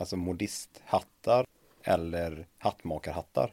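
A man's dark, mellow voice at a very slow pace, with ordinary pitch variation. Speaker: podcast host. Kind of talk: interview.

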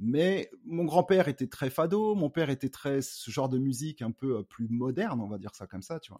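With a dark, mellow tone and very wide pitch swings, the voice moves at a moderate pace with hardly any pauses and big swings in loudness, in a dry, close sound with no echo. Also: man, fairly high pitch for a man. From Paris suburbs, France (Cergy). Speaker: rapper. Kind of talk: casual interview. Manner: halting, many fillers.

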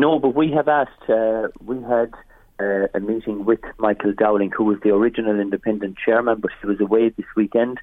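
A man speaks at a fairly quick pace with a rural Irish accent. His pitch sits in the medium range. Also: fairly even intonation. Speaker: farmers' association leader. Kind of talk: radio interview.

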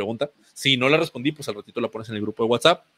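Lively in intonation, a man races along at a very fast pace. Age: 30s. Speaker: physical education teacher. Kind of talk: online presentation. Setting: online event with screen sharing. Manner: halting, many repetitions and fillers.

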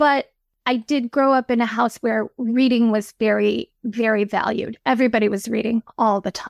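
A woman with a Midwestern American accent talks at a fairly high pitch with fairly even intonation, and the sound is dry and close with no echo. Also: moderate pace. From Michigan, US Midwest. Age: 50s. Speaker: novelist. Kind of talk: interview.

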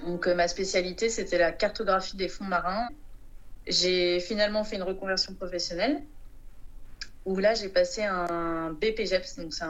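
Audible room echo follows a woman as she speaks at a fairly slow pace. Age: 30s. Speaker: sailor. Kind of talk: interview.

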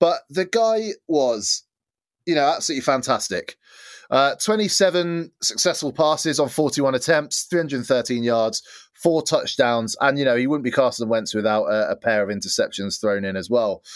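Speaking with an English accent, a man uses a fairly high pitch. His voice swings very widely in pitch at a moderate pace. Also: very clean recording, silent background. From England. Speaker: NFL podcast host. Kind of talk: casual chat.

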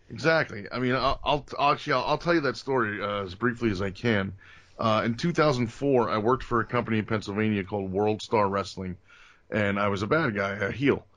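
This man has a plain, everyday voice with an American accent and a fairly low pitch. His pitch variation is ordinary, and the background is quiet. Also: fairly quick pace. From New Jersey, Bergen County. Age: 40s. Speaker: pro wrestler. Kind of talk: casual chat. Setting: video call.

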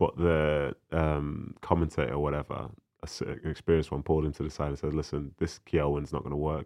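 Very deep and low, a man's voice comes out monotone and flat, with vocal fry. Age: 30s. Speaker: former footballer. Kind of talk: casual chat.

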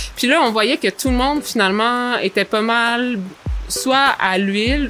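Against noticeable background noise, a woman with a Quebec accent speaks at a fairly high pitch. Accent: Québécois French. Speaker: vegetable farmer. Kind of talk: interview.

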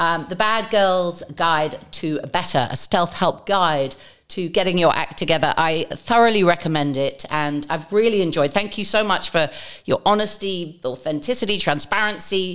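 In a very clean recording with a silent background, a woman with a plain, everyday voice speaks at a moderate pace in a fairly low pitch, with ordinary pitch variation. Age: 40s. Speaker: podcast host. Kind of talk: casual interview.

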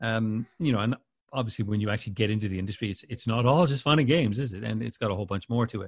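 A man with a Canadian accent speaks at a very fast pace. His medium-pitched voice is somewhat breathy. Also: ordinary pitch variation. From Winnipeg, Canada. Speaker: radio station CEO and broadcaster. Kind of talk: casual interview chat.

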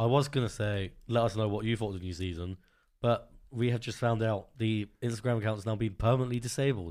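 Recorded very cleanly against a silent background, a man with an ordinary speaking voice talks fairly quickly at medium pitch with fairly even intonation. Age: young. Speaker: podcast producer and bassist. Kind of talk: casual chat.

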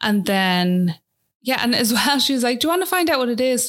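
Recorded very cleanly against a silent background, a woman with an Irish accent speaks at a moderate pace. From Ireland. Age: 20s. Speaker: new mother. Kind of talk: interview testimony. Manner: casual, filler-heavy.

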